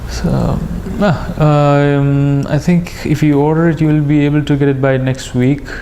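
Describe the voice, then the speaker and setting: A man speaks at a fairly slow pace in a fairly high pitch, with monotone, flat intonation and very even loudness. Audible room echo and noticeable background noise surround him. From India. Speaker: priest and language teacher. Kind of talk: lecture. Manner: halting.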